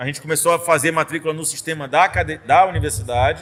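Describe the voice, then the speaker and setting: This man has an ordinary speaking voice with a fairly high pitch. He talks at a fairly quick pace. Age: 40s. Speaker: state tech secretary, former professor. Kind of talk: casual podcast interview. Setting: studio.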